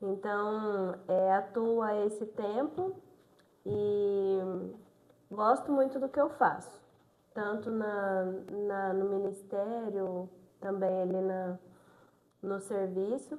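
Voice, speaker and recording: With long, frequent pauses, a woman talks at a very slow pace in a medium pitch and fairly even intonation. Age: 20s. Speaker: nursing technician, deaconess. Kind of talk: interview testimony. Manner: reserved, few words.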